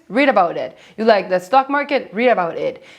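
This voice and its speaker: A speaker with a non-native accent talks at a moderate pace, using lively intonation. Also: woman. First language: Spanish. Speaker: finance YouTuber. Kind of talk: vlog-style talk to camera.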